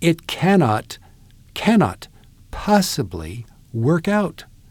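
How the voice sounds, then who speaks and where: Very wide pitch swings in a man's somewhat breathy voice. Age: 70s. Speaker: pastor and author. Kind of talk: interview.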